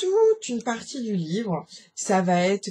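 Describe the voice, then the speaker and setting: Her tone dark and mellow, a woman speaks in a somewhat breathy voice. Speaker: book vlogger. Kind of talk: casual book review vlog. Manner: hesitant, many fillers.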